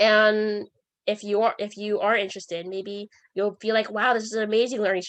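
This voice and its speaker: Over a quiet background, a woman at a fairly high pitch speaks in a monotone with flat intonation. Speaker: student club workshop host. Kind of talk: online workshop presentation. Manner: fast; halting, many fillers and restarts.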